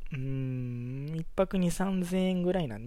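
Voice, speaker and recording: A man speaks in a relaxed tone at a moderate pace. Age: 20s. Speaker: podcaster. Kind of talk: casual solo monologue. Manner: relaxed, filler-heavy.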